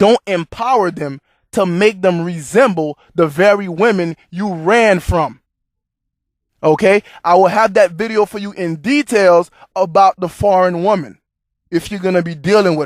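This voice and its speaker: The speech is fairly slow, with ordinary pitch variation. The recording is very clean with a silent background, and the sound is dry and close with no echo. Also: man, high pitch for a man. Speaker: YouTube commentary host. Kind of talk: casual monologue.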